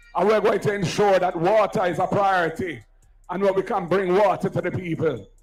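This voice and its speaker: With music in the background, a man speaks at a fairly quick pace in a high voice. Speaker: political speaker at campaign rally. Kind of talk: campaign rally speech. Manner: loud, oratorical.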